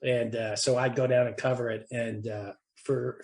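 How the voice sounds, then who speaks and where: Somewhat breathy, the man's medium-pitched voice stays monotone and flat. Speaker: former TV producer and comedy writer. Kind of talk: interview. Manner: halting.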